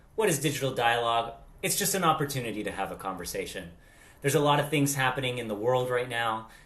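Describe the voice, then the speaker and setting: A man with an American accent talks at a very fast pace and a medium pitch. His intonation is lively, and the room echo is audible. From Latin America. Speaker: vlog co-host. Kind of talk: casual chat. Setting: video call.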